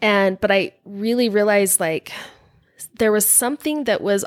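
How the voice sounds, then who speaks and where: In an American accent, a woman with an ordinary speaking voice talks at a fairly slow pace and medium pitch, with ordinary pitch variation in a dry, close sound with no echo. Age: 40s. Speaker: guest sharing faith-leaving story. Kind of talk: casual interview chat.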